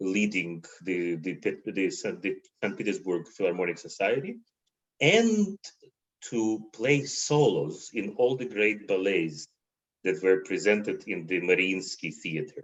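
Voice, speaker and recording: Fairly low in pitch, a man talks with a Russian accent. His pace is fairly slow and his pitch varies in an ordinary way. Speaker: concert violinist. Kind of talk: interview conversation. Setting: livestream video call. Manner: halting, repeats words.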